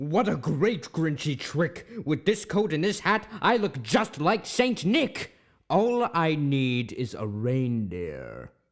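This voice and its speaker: In a very clean recording with a silent background, a man puts on a growling character voice at a fairly high pitch, with very wide pitch swings and a fairly slow pace. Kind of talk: radio play reading. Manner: snarling, sneering.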